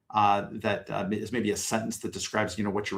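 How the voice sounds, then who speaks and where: Speaking very fast, a man keeps his pitch fairly low. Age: middle-aged. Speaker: community consultant reviewing CVs. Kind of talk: live workshop feedback. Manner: halting, many fillers and repeats.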